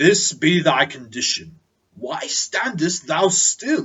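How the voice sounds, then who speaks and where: A man puts on a character voice, high in pitch with very wide pitch swings. He delivers it at a fairly slow pace. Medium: read story. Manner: solemn, archaic.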